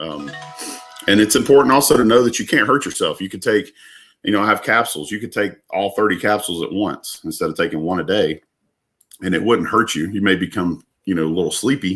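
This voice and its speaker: Pitched fairly low, a man with a Southern US accent uses lively intonation. The recording is very clean with a silent background. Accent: Southern drawl. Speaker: business owner. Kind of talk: casual chat. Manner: halting.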